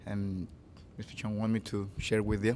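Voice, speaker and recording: A man speaks in a medium pitch. His pace is fairly slow. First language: not English. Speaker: music student, pianist. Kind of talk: introduction before a performance.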